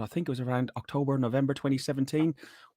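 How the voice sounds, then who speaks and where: On a very clean recording with a silent background, a man with an Irish accent sounds dry and close with no echo. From Ireland, Athlone (midlands). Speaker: podcast host, sales worker. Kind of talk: casual chat.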